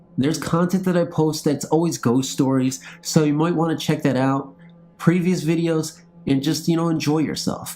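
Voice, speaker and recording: Over music in the background, a man with a fairly high pitch speaks at a moderate pace in a monotone, flat intonation. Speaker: horror story narrator. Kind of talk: casual chat. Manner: slurring words.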